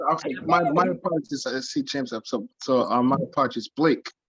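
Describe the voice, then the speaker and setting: A man with an American accent at a moderate pace, ordinary pitch variation, dry, close sound with no echo. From Brooklyn, New York. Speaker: R&B singer. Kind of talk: casual chat. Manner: animated.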